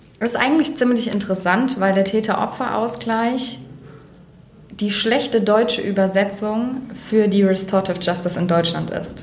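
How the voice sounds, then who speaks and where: At a fairly high pitch with ordinary pitch variation, a woman speaks at a moderate pace amid noticeable background noise and audible room echo. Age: 20s. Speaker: criminologist and mediator. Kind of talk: interview. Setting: makeshift room, not a studio. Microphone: far from the mic, leaning back.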